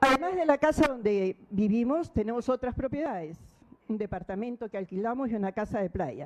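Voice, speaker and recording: Recorded with a dry, close sound and no echo, a woman's voice swings very widely in pitch. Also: fairly quick pace. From Peru. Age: 60s. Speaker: defendant. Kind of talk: court statement. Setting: courtroom hearing.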